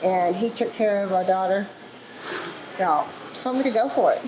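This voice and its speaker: Noticeable background noise sits behind a woman's voice at a medium pitch. She keeps a moderate pace and fairly even intonation. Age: 60s. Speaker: truck driver. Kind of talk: interview. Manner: casual, chatty.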